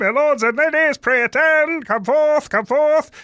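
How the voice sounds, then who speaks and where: In a put-on character voice, a man speaks at a moderate pace, raised and projected, at an extremely high pitch. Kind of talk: archaic, theatrical.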